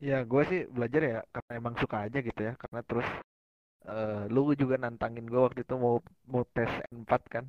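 With an ordinary speaking voice, a man talks fairly quickly at a medium pitch and with fairly even intonation. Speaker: university student. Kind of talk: casual chat.

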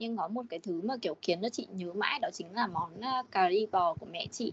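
Very wide pitch swings mark this woman's fairly high voice as she talks at a moderate pace. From Điện Biên, northern Vietnam. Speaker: communications staff, home cook. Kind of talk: casual chat.

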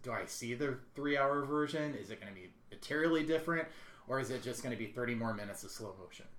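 Speaking very fast at a medium pitch, a man shows ordinary pitch variation and big swings in loudness, with audible room echo around him. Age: 30s. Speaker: podcast co-host. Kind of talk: casual chat.

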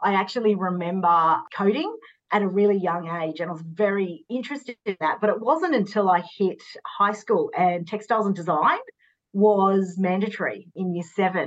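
A woman speaks with an Australian accent at a moderate pace. Her pitch is medium, with ordinary variation. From Sydney, Australia. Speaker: fashion stylist. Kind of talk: casual chat.

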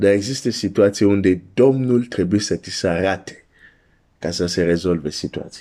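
A man's fairly low, dark, mellow voice at a moderate pace, with ordinary pitch variation, on a very clean recording with a silent background. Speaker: preacher. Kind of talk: sermon. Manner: earnest, pleading preacher's delivery, urging listeners to seek God; direct, warm address to the listener.

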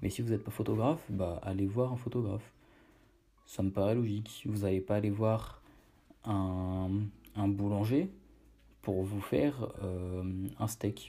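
A somewhat breathy man's voice, fairly low in pitch, dark and mellow in tone, with fairly even intonation. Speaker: podcast host on online brand building. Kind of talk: casual solo monologue. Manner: hesitant with fillers.

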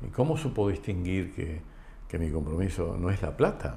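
A man talks at a moderate pace, with audible room echo around him. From Argentina, Entre Ríos (Concepción del Uruguay). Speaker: insurance company president. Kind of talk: interview conversation. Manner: halting.

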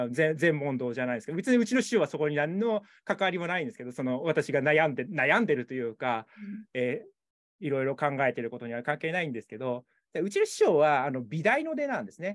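A fairly high-pitched man at a fairly quick pace, lively in intonation, against a quiet background. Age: 40s. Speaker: photographer. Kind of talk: interview. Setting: video call. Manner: halting.

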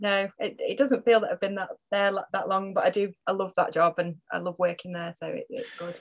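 With a Cheshire accent, this voice moves at a fairly quick pace with hardly any pauses, fairly even intonation, and a dry, close sound with no echo. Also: woman, medium pitch for a woman. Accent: northern English (Cheshire). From northern England, Macclesfield. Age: 40s. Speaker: hospital communications worker and fitness client. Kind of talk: casual interview.

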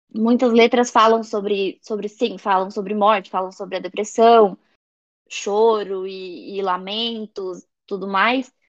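Here is an ordinary speaking voice from a woman at medium pitch. She goes at a fairly slow pace with fairly even intonation. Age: 20s. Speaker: journalism student. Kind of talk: casual chat.

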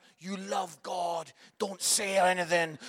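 A man with a Scottish accent, at a fairly slow pace, in a dry, close sound with no echo. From Scotland. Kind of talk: sermon. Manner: animated.

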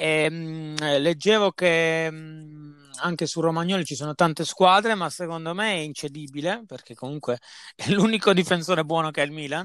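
With a normal speaking voice, a man talks at a moderate pace and a fairly high pitch, his intonation fairly even but his loudness swinging widely, on a very clean recording with a silent background. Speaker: football podcast host. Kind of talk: casual chat.

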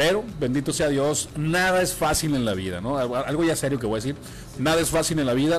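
Here is a man with an ordinary speaking voice and a fairly high pitch. He talks at a fairly quick pace with lively intonation. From Sinaloa, Mexico. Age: 30s. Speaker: radio announcer. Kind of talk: interview.

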